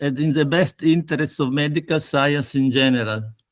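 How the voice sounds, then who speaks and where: On a very clean recording with a silent background and a dry, close sound without echo, a man with an Italian accent speaks at a fairly high pitch. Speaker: pathologist. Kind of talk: lecture.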